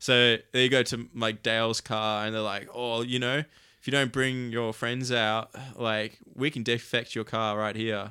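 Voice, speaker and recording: In an Australian accent, a man with a medium pitch and a bright, sharp tone speaks at a fairly slow pace in a monotone, flat intonation, on a very clean recording with a silent background. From Canberra, Australia. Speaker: downhill skate event organizer. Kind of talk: casual chat.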